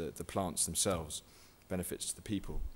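A man talks with a southern English accent. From southwest England. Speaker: guerrilla gardening activist and author. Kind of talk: lecture. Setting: stage with audience. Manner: halting.

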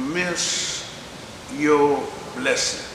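A man is heard with audible room echo. Light background noise sits behind him. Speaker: preacher. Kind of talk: sermon. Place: church.

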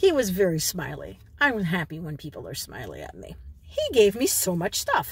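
The woman is heard in a dry sound with no echo. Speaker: vlogger. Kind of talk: casual vlog chat. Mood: cheerful, chatty. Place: car. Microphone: phone near.

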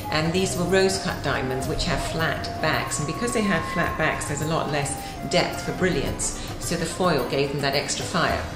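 Clear music plays in the background. A woman speaks over it at a moderate pace with ordinary pitch variation. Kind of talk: explanatory commentary. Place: office.

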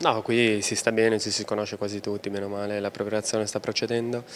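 The speaker is a man with a fairly low pitch. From Brescia, northern Italy. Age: 30s. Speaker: professional footballer. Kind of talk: interview.

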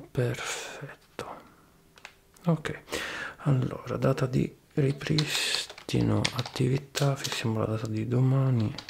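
Leaving long, frequent pauses, a man speaks very slowly with fairly even intonation over light background noise. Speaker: ASMR creator playing a repair technician. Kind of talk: soft-spoken role-play. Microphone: studio mic.

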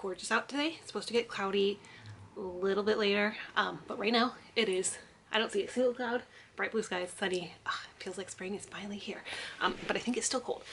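A woman speaks with ordinary pitch variation. Light background noise can be heard. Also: fairly quick pace, big swings in loudness. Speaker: book vlogger. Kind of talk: casual vlog chat. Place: home room. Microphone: phone near.

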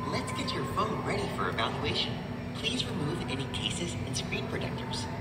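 Music plays in the background while the speaker keeps a moderate pace. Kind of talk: recorded machine instructions. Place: shop.

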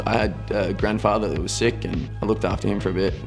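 Talking very fast in a very deep, low voice, a man is heard over clear background music. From north west Victoria, Australia. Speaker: nursing student. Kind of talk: interview answer. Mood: relaxed, upbeat. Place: studio.

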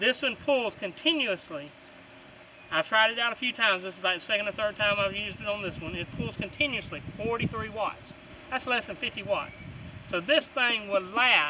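Moderate tempo and ordinary pitch variation, set against noticeable background noise. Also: man, high pitch for a man. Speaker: product reviewer. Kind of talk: casual product review. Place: open country.

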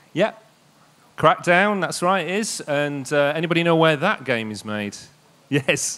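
Using a Yorkshire accent, a man with a fairly high pitch and bright, sharp tone speaks at a fairly slow pace with lively intonation and long, frequent pauses. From East Yorkshire, England. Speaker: games industry network director; presenter. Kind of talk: public presentation. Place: stage. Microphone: handheld.

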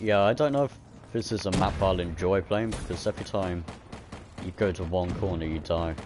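Noticeable background noise behind a man talking at a fairly quick pace with a very deep, low pitch. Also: ordinary pitch variation. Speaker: gaming YouTuber. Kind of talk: casual gameplay livestream chat. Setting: online voice chat while streaming. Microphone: headset.

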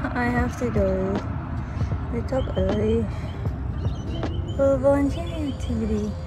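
A woman speaks at a fairly slow pace. Music plays in the background, and the sound is dry with no echo. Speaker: student vlogger. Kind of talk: casual vlog chat. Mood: sleepy, mildly anxious about bus. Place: street. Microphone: phone near.

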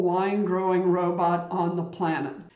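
With audible room echo and a quiet background, a man with a high pitch speaks at a moderate pace. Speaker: tech news host. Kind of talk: commentary. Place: home room.

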